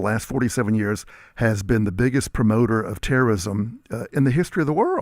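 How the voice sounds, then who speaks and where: A man with an unremarkable speaking voice, medium pitch, ordinary pitch variation and an American accent. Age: 60s. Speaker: historian. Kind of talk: talk radio discussion.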